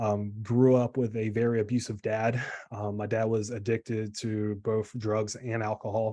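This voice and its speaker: A man with a dark, mellow tone speaks at a medium pitch in a monotone, flat intonation against a quiet background. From US South, South Carolina. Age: 20s. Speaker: online health coach. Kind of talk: motivational talk, personal story. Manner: casual, many fillers.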